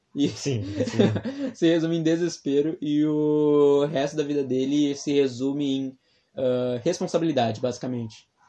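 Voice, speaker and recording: At a fairly slow pace, a man with fairly high pitch uses a normal speaking voice with ordinary pitch variation. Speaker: podcast co-host. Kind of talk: casual chat.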